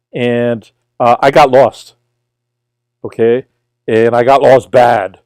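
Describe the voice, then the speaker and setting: With a Brooklyn accent, a man speaks at a very slow pace and medium pitch, with long, frequent pauses, fairly even intonation, and a dry, close sound with no echo. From New York, Brooklyn. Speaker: tutor. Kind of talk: casual livestream chat.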